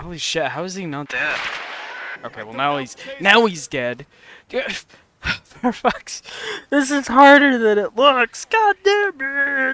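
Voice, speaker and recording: Speaking very slowly with long, frequent pauses, a man raises and projects an extremely high voice, his pitch swinging very widely and his loudness shifting a great deal. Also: dry, close sound with no echo. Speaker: gaming YouTuber. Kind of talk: gameplay commentary; casual chat.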